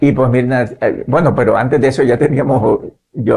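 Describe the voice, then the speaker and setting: A man talks with vocal fry. His intonation is monotone and flat. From Nicaragua. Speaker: pastor and missionary. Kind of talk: interview, personal testimony. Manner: hesitant, repetitive fillers.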